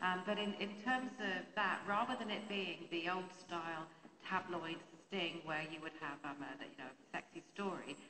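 A British accent at a fairly slow pace, with ordinary pitch variation and noticeable background noise. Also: woman. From England. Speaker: lawyer. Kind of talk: panel Q&A. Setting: stage with audience. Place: hall. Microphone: handheld.

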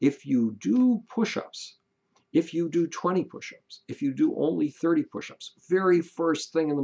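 A man with a dark, mellow tone talks at a fairly slow pace with very wide pitch swings against a quiet background. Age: 70s. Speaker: author giving life advice. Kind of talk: monologue, motivational talk. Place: home room. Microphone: webcam.

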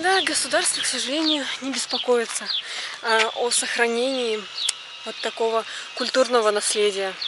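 A woman at a moderate pace with ordinary pitch variation, dry sound with no echo, and loud background noise. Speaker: travel vlogger. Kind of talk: casual vlog chat. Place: street. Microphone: phone near.

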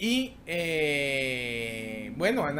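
Light background noise accompanies a man as he talks. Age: 40s. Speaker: tech YouTuber hosting a livestream. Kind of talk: casual live stream chat reading tech news. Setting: live stream. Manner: halting, many fillers and repetitions. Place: home room. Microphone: webcam.

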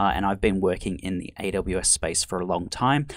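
Deep and very low in pitch, a man speaks. His pace is moderate. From Australia. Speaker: online course instructor. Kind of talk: lecture. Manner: casual, frequent filler words.

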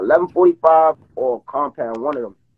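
A New York accent with ordinary pitch variation. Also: man. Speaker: live-stream participant in a street dispute; live stream host. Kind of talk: heated debate. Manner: loud; animated. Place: home room. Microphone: phone near.

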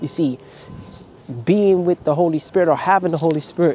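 A man's fairly high voice at a fairly quick clip, with fairly even intonation and noticeable background noise. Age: 20s. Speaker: religious vlogger. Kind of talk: rant.

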